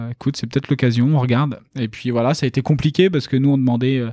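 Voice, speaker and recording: A dark, mellow tone at a fairly quick pace, with fairly even intonation, on a very clean recording with a silent background. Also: man. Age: 30s. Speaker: real estate developer. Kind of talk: interview.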